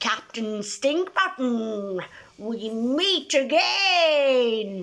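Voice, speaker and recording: Using a put-on character voice, a woman speaks at a very slow pace in a high pitch. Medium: read story.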